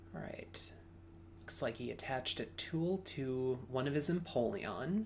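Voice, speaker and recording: A man's somewhat breathy, medium-pitched voice at a fairly slow pace, with very wide pitch swings. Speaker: podcast co-host and Pokemon commentator. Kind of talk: live sports-style game commentary. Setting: recorded commentary over a game video.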